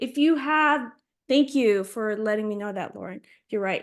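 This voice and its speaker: Lively intonation and an animated tone mark this woman's voice. She speaks at a fairly slow pace against a quiet background. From Philippines. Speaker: artist teaching a workshop. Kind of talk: tutorial. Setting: video call.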